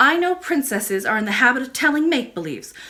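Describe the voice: A woman's put-on character voice, high-pitched, bright and sharp, with big pitch swings. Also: fairly quick pace.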